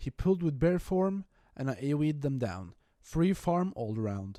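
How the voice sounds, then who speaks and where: On a very clean recording with a silent background and a dry, close sound with no echo, a man speaks at a fairly high pitch with a dark, mellow tone and lively intonation. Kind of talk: gaming commentary narration. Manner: careful, tries not to stutter.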